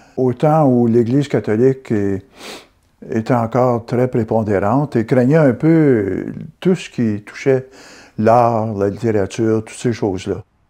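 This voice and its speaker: A man with a dark, mellow tone and a medium pitch talks at a fairly slow pace with ordinary pitch variation against a quiet background. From Quebec, Gatineau (Hull), Outaouais. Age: 70s. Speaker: amateur sculptor. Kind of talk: interview testimony. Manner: halting, with fillers.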